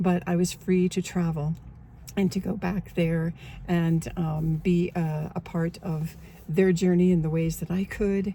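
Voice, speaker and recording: A woman's fairly low, somewhat breathy voice with an American accent, dark and mellow in tone, flat and monotone, at a fairly slow pace. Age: 70s. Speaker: online coach and memoir author. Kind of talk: casual talk to camera.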